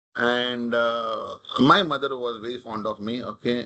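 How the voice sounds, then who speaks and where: A man with a Marathi accent speaks at a medium pitch. His tone is bright and sharp. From India, Mumbai. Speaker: corporate leader, talk speaker. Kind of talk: talk with audience, personal story.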